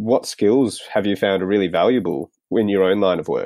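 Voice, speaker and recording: This man has an ordinary speaking voice, pitched fairly low. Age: 30s. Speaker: podcast interviewer. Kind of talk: interview.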